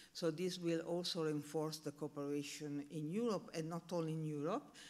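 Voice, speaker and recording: This voice moves at a moderate pace with an Italian accent. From Italy. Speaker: panel speaker on research infrastructure. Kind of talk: conference presentation. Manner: halting, many fillers.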